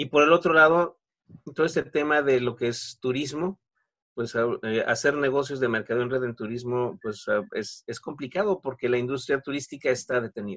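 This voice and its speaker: A normal speaking voice from a man, fairly high-pitched, at a moderate pace with ordinary pitch variation and a dry, close sound with no echo. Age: 40s. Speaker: network marketing consultant. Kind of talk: interview.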